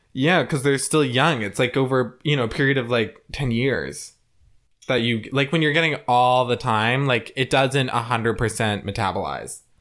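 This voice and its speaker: On a very clean recording with a silent background, a man speaks at a moderate pace and medium pitch with ordinary pitch variation, in a normal speaking voice. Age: 20s. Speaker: podcast co-host. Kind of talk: casual chat.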